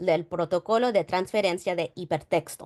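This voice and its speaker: A woman at medium pitch is heard with a dry, close sound, no echo, and a quiet background. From New York. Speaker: digital preservation archivist. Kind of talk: conference presentation. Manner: halting.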